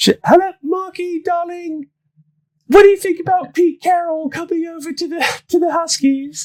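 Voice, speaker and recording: Putting on a character voice in an English accent, a man speaks at an extremely high pitch. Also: moderate pace. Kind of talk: warm, affectionate.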